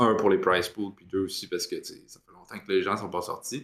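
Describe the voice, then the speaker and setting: A man is speaking. He has a Quebec accent. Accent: Québécois French. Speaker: esports panelist. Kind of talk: casual chat.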